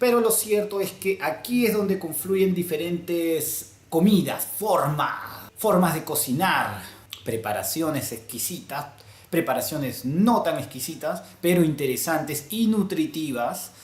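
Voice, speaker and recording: A man with a Peruvian accent speaks slowly-ish at a fairly slow pace in a high pitch with lively intonation, amid noticeable background noise. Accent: Peruvian Spanish (Lima). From Lima, Peru. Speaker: vlogger. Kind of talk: casual talk to camera.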